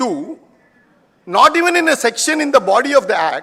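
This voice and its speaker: A man's raised, projected voice with lively intonation. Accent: Indian. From India, schooled in Calcutta. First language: Hindi. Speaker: tax and company law speaker. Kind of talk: conference lecture.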